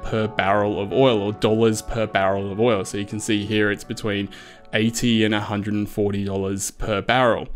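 A man talks at a fairly low pitch and a fairly slow pace. His intonation is monotone and flat, with faint music in the background. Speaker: spreadsheet tutorial host. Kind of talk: tutorial. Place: home room.

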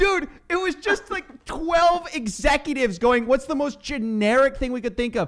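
A man's extremely high voice with an American accent, animated in tone with lively intonation and hardly any pauses, over a quiet background. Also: moderate pace. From Texas. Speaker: podcast co-host. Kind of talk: casual chat. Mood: mocking, amused. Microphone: studio mic.

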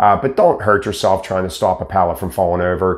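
Against quiet surroundings, a man speaks fairly quickly. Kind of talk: casual explanatory talk to camera. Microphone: lapel.

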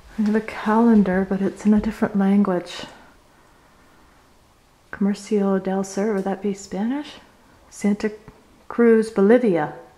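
A woman speaks at a fairly slow pace with fairly even intonation. Her delivery has long, frequent pauses. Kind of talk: casual vlog commentary. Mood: curious, slightly wary. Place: empty room. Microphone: phone near.

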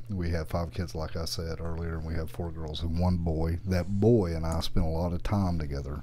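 A man with a Southern US accent and a very deep, low pitch speaks in a dark, mellow, somewhat breathy tone with fairly even intonation and hardly any pauses, over light background noise. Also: moderate pace. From US South. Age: 40s. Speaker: motorcycle YouTuber. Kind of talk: casual chat. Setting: studio. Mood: relaxed storytelling. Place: studio. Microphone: studio mic.

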